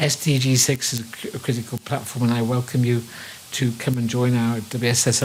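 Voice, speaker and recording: Noticeable background noise sits behind a man speaking fairly quickly in a Liverpool accent, his intonation monotone and flat. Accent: Liverpool (Scouse). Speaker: water engineer, panelist. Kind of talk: panel discussion remarks.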